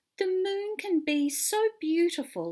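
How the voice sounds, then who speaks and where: Fairly slow pacing in a put-on character voice. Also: woman, extremely high pitch for a woman. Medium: read story.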